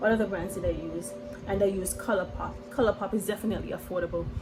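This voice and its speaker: Over noticeable background noise, a woman talks at a fairly quick pace, her medium pitch showing ordinary variation. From St. Kitts and Nevis. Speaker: makeup artist and beauty vlogger. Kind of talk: makeup tutorial vlog. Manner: fast; clipped words.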